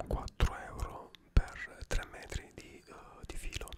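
A man whispers in a relaxed tone. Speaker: ASMR creator. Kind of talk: ASMR show and tell, soft-spoken product demonstration. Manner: soft-spoken, slow, relaxed. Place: home room. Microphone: studio mic.

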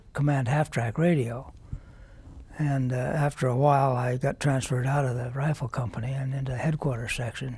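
The voice is somewhat breathy, with a dark, mellow tone and a fairly quick pace. Its intonation stays fairly even, and the sound is dry with no echo. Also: man. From US Midwest (Nebraska). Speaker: war veteran. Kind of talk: oral history interview. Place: studio. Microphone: lapel.

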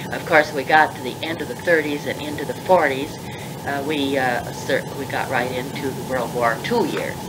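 Music plays in the background. The speaker goes at a fairly slow pace with ordinary pitch variation. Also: woman, very deep, low pitch for a woman. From Pittsburgh, US. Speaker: former college dean, retired professor. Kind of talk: elder life story, reminiscing in an interview. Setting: interview recorded on tape. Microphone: old recording.

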